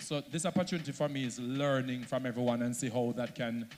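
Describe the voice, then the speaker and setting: A man with a Jamaican accent talks at a very fast pace. His pitch is medium. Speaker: social media content creator. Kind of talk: panel talk at a launch event.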